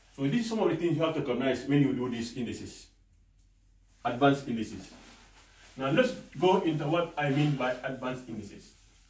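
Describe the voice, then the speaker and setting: A man's fairly high, lively voice at a very fast pace, broken by long, frequent pauses, with audible room echo. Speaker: maths teacher. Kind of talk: lecture. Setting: classroom. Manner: loud. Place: classroom. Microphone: camera far.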